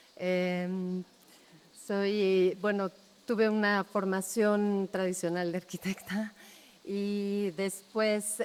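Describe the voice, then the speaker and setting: A woman speaks in a Mexico City accent. Her pace is very slow and her intonation monotone and flat. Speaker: architect. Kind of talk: public talk.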